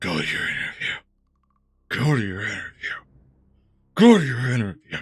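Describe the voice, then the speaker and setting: Using a put-on character voice, a man speaks at a medium pitch and a moderate pace, sounding raspy. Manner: repetitive, commanding.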